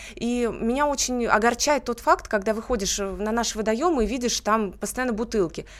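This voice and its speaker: A woman with a fairly high pitch uses an ordinary speaking voice, with ordinary pitch variation and hardly any pauses. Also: moderate pace. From Russia, Tver region (Kimry). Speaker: beauty pageant winner. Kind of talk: radio interview. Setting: studio.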